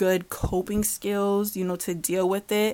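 A woman with a plain, everyday voice talks at a medium pitch and a moderate pace, her pitch varying in an ordinary way. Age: 20s. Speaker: podcast host. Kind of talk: casual monologue.

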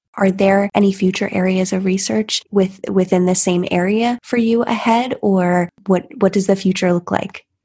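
Somewhat breathy and with a dark, mellow tone, a woman at medium pitch speaks in monotone, flat intonation at a moderate pace with hardly any pauses, in a dry, close sound with no echo. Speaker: podcast host. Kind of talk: interview.

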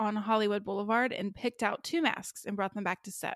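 Recorded very cleanly against a silent background, a woman speaks in a plain, everyday voice at a fairly high pitch with ordinary pitch variation. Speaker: podcast host. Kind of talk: casual chat.

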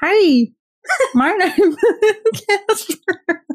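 This is a put-on character voice that sounds squeaky. The words come out mumbled. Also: woman, extremely high pitch for a woman. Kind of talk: casual, friendly.

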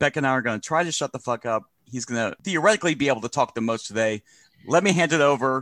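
Speaking at a very fast pace, a man with a medium pitch sounds animated, his intonation lively, in a dry, close, echo-free recording that is very clean with a silent background. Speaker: podcast host. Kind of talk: casual comedic chat. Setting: home studio. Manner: animated, joking.

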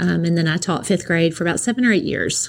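A woman with a Tennessee accent, a fairly low pitch and ordinary pitch variation. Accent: Southern US (Tennessee). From East Tennessee (near Knoxville), US South. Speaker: school principal. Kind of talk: interview. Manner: hesitant, many fillers.

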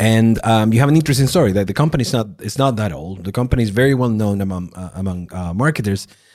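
The speaker has a non-native accent and talks at a very fast pace with lively intonation and hardly any pauses. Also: man, fairly low pitch for a man. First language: not English. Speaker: podcast host. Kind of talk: casual interview.

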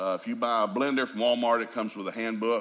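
A man with a Southern US accent, very fast, with ordinary pitch variation. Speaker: preacher. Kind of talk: folksy, humorous storytelling. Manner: fast talker.

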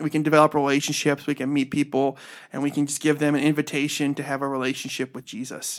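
On a very clean recording with a silent background, a man talks with an Ohio accent. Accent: Northern US Midwest (Ohio). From Northeast Ohio, Cleveland and Medina. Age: 30s. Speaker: pastor. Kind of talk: casual interview.

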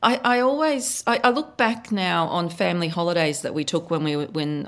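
A woman with an Australian accent and a fairly low pitch, on a very clean recording with a silent background. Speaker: author and photographer. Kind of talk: interview, conversational.

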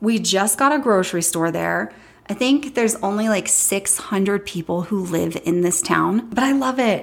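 A woman's medium-pitched voice at a moderate pace, animated in tone, with ordinary pitch variation and very even loudness. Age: 30s. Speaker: podcast host and social media influencer. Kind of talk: casual personal monologue.

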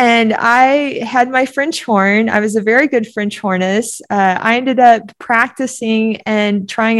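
In an ordinary speaking voice, a woman with an American accent talks at a fairly slow pace, her pitch fairly high with ordinary variation. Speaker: ultramarathon runner. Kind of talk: interview.

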